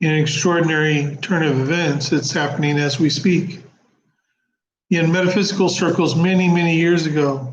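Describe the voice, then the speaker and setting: A man with an American accent, fairly high in pitch, with fairly even intonation at a moderate pace amid audible room echo. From US, Oklahoma. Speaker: spiritual channel host. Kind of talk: live stream monologue. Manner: casual, conversational.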